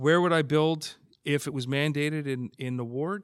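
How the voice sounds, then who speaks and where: Talking at a moderate pace with fairly even intonation, a man has a plain, everyday voice. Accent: Canadian. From Hamilton, Ontario, Canada. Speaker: city council candidate. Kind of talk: interview.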